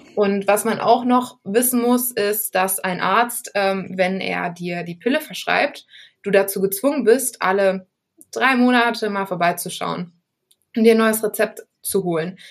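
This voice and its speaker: At a fairly slow pace, this woman talks in a medium pitch. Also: ordinary pitch variation. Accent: Düsseldorf. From Düsseldorf, Germany. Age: 20s. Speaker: podcast interviewee. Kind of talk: personal testimony interview.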